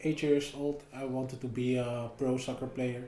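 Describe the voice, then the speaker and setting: A man with a Dutch accent talks at a fairly slow pace. Noticeable background noise and audible room echo surround his voice. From Netherlands, Amsterdam. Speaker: MMA fighter. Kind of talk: podcast interview. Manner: halting.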